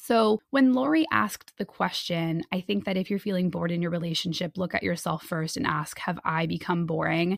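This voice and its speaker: A woman with a plain, everyday voice talks at a fairly quick pace, her fairly low pitch moving with lively intonation in a dry, close sound with no echo. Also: hardly any pauses. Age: 30s. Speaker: podcast host and relationship coach. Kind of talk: solo podcast monologue.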